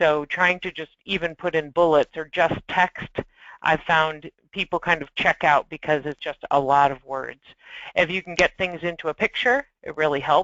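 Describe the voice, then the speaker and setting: A woman with an unremarkable speaking voice speaks at a fairly low pitch and a moderate pace. Her pitch variation is ordinary, though her loudness swings widely. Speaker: solutions engineer presenting a webinar. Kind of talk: webinar presentation.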